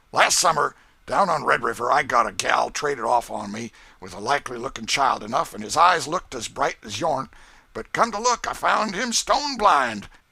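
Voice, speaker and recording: Putting on a raspy character voice in a Southern US accent, a man projects loudly at a fairly high pitch and a moderate pace, his pitch swinging very widely. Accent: rustic American Southern dialect. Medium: read story.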